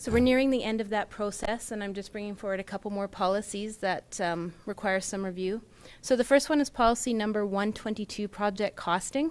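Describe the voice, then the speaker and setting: A woman's medium-pitched voice in a Canadian accent, fairly quick, with ordinary pitch variation. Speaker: municipal finance manager. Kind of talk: council meeting presentation. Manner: soft-spoken; formal.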